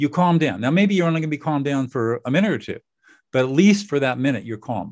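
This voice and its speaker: A man's very fast speech with lively intonation. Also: fairly high pitch for a man. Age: 70s. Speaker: lawyer-mediator and author. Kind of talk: podcast interview.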